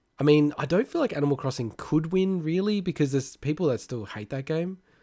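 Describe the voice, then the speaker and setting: Speaking at a fairly quick pace with an Australian accent, a man has a fairly high pitch and a dark, mellow tone. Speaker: gaming podcast co-host. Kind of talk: casual chat.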